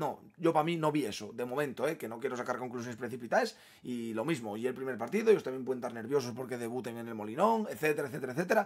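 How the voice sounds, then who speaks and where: Talking at a very fast pace, a man sounds animated. His pitch varies in an ordinary way. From Asturias, Spain. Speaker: football fan youtuber. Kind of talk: match opinion monologue. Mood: frustrated, opinionated. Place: home room.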